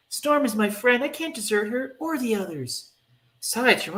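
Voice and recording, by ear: Natural-sounding reading aloud fills the clip. Behind it, all is quiet.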